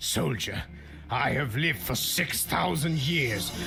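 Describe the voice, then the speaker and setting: Against clear background noise, a raspy, put-on character voice goes at a fairly slow pace. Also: man, medium pitch for a man. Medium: fan dub. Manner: exasperated, prissy.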